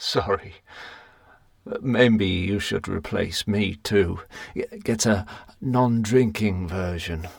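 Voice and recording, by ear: A man's put-on character voice, slow and low-pitched, with vocal fry and ordinary pitch variation.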